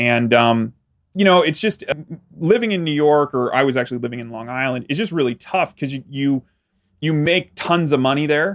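With an American accent and a normal speaking voice, a man talks at a moderate pace, his fairly high pitch moving in lively intonation. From rural Pennsylvania. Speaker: entrepreneur and marketing consultant. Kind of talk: casual interview.

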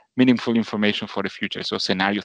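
A man with a Spanish accent is heard in a dry, close recording with no echo. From Argentina. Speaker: finance executive. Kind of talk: interview. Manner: halting.

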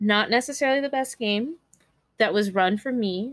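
With an American accent, a woman speaks at a fairly high pitch with ordinary pitch variation. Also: very clean recording, silent background. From California. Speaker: streamer, podcaster and voice actor. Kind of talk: casual chat.

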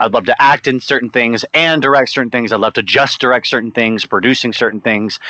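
Over noticeable background noise, a man with an American accent talks at a very fast pace in a medium pitch with fairly even intonation. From Louisiana, US South (Monroe). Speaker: actor and musician. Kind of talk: interview.

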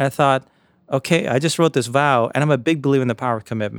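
Speaking at a very fast pace with an American accent, a man has a medium pitch and ordinary pitch variation in a very clean, dry, close recording with no echo and a silent background. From US, Jamaica, Queens, New York City. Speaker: author and investor. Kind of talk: casual interview.

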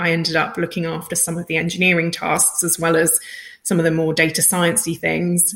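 A woman's fairly low voice in a British accent, monotone and flat in intonation. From Britain. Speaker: head of data science. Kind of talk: interview.

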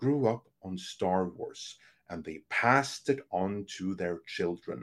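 A man with a Norwegian accent speaks with lively intonation. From Norway. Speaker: entertainment analyst and podcast host. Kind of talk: interview conversation. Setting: video call.

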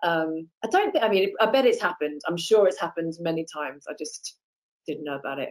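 Her loudness swings widely. The woman speaks at a fairly quick pace. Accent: British. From Britain. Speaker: actress. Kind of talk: casual chat.

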